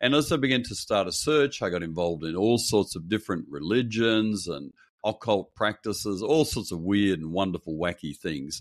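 Delivered at a moderate pace, this man's speech has an Australian accent, a fairly low pitch and lively intonation. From Perth, Western Australia. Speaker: pastor. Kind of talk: interview.

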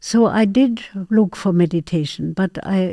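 A woman with a dark, mellow tone. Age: 80s. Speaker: artist and meditation trainer. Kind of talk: interview.

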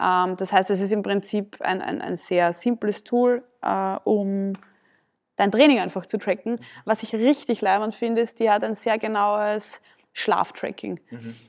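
A woman with an unremarkable speaking voice talks at a fairly slow pace, her medium pitch and fairly even intonation. The background is quiet. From Austria, southern Burgenland. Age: 20s. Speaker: CrossFit athlete and gym owner. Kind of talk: casual interview.

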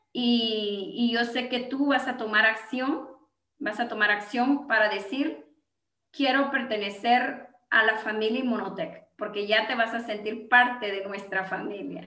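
The delivery is fairly slow, and the pitch varies in an ordinary way. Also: woman. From Guatemala (Gualán, Zacapa). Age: 40s. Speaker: network marketing entrepreneur. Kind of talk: interview with sales pitch.

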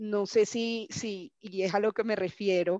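A woman has a normal speaking voice, fairly high in pitch with fairly even intonation. The sound is dry and close with no echo, over a quiet background. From Colombia, Barranquilla. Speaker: sports marketing manager. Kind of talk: interview.

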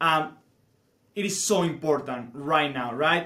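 A man with a Spanish accent at a very slow pace. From Spain. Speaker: teacher. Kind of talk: casual chat.

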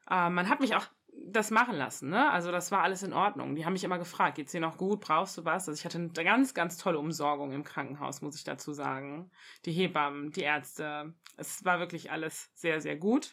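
In a very clean recording with a silent background, a woman with a plain, everyday voice and a fairly low pitch talks fairly quickly, her loudness swinging widely and her pitch varying in an ordinary way. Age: 30s. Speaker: mother sharing birth experience. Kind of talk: interview testimony.

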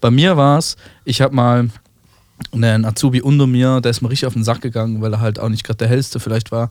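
Very fast pace with fairly even intonation. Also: man, medium pitch for a man. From Switzerland. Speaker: chef. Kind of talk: casual chat.

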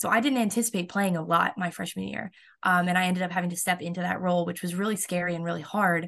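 With an American accent, a woman speaks very fast at a fairly low pitch with fairly even intonation. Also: quiet background. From Florida. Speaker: college softball pitcher. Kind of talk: interview.

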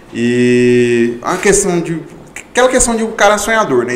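A man's pitch swings very widely. Audible room echo and noticeable background noise are present. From Goiânia, Goiás, Brazil. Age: 20s. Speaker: accounting firm partner. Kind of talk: casual interview chat.

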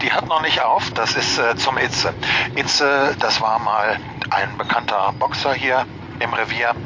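A man at a medium pitch with ordinary pitch variation, fairly slow pace and very even loudness, amid noticeable background noise. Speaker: rickshaw city tour guide. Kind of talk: guided tour. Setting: outdoors on a rickshaw. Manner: vibrato from cobblestones.

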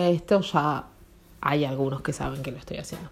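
With a Rioplatense accent, a woman talks at a fairly quick pace with lively intonation. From Argentina. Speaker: podcaster. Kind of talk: casual monologue. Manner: halting.

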